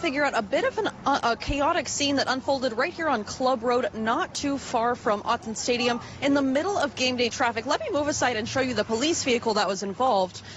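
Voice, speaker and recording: A woman talks at a fairly quick pace over noticeable background noise. Her pitch is high and her intonation lively. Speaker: news anchor and reporter. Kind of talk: live TV news report.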